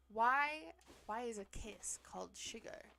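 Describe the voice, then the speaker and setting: The speaker is a woman. She talks with a Pacific Northwest accent. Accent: Pacific Northwest, drops T's. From US Pacific Northwest. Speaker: streamer. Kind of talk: casual chat. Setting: live stream.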